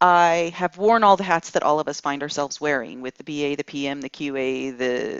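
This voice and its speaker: A woman talks at a moderate pace and a fairly low pitch in an ordinary speaking voice, with ordinary pitch variation. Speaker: business analysis trainer. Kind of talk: lecture.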